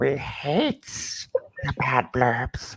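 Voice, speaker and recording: A man puts on a character voice. It is raspy and fairly high in pitch. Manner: mock-menacing.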